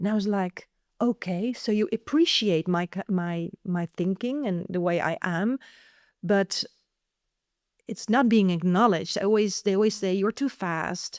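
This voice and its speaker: Here is an ordinary speaking voice at a fairly slow pace with ordinary pitch variation. The recording is very clean and silent behind it, dry and close with no echo. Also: woman, medium pitch for a woman. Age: 50s. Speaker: neurodiversity speaker and author. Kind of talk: interview conversation.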